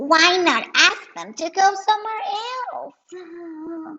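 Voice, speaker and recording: A female-sounding voice puts on a playful, squeaky character voice at an extremely high pitch. The pace is very slow. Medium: read story. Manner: giggly, playful.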